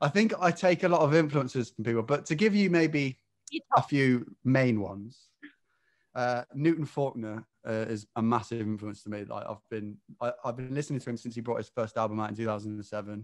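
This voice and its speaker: The background is quiet as a man speaks at a moderate pace. His intonation is lively. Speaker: guest. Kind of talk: interview answer. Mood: friendly, slightly self-deprecating. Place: home room. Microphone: video call.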